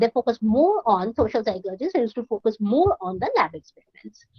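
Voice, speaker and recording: A woman with a Bengali accent speaks at a moderate pace with very wide pitch swings. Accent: Indian English, Bengali. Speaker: university counsellor. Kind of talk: lecture. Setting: online class. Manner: halting, repeated false starts.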